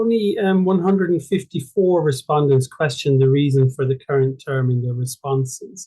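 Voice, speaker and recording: With an Irish accent, a man speaks at a moderate pace in a fairly high pitch, with hardly any pauses. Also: ordinary pitch variation. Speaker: journal club presenter. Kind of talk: paper presentation in online discussion group. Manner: halting, with many fillers and repetitions.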